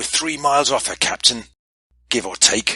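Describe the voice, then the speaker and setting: Using a put-on character voice, a man sounds raspy and fairly high-pitched. He keeps a moderate pace. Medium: read story.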